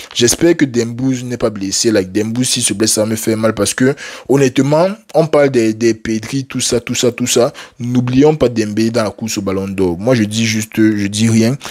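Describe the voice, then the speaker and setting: Speaking at a moderate pace, a man uses a medium pitch, an animated tone and ordinary pitch variation. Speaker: football YouTuber. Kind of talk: casual match debrief to camera. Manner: halting, stumbling.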